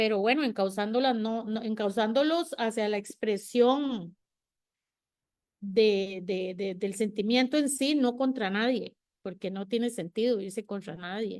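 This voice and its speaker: At a fairly slow pace, a woman uses an ordinary speaking voice with fairly high pitch and ordinary pitch variation. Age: 60s. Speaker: panel guest. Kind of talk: panel discussion.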